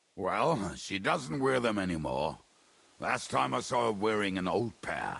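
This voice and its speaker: A man's put-on character voice, raspy and fairly low, with very wide pitch swings at a moderate pace. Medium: video game.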